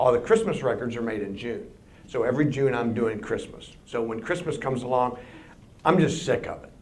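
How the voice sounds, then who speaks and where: A man speaks at a fairly quick pace with ordinary pitch variation. His loudness swings widely, and audible room echo is present. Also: medium pitch for a man. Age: 60s. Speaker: composer and record producer giving a public lecture. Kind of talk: public lecture. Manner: conversational.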